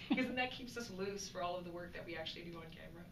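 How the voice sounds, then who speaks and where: The speaker is a woman. Noticeable background noise sits behind her voice. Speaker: actress promoting a TV show. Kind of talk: interview answer. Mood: cheerful, laughing often. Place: home room.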